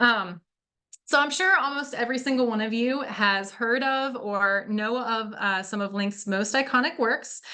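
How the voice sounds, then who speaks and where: Audible room echo surrounds a woman whose fairly high voice carries lively intonation. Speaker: museum curator. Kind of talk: lecture. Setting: video call. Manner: fast.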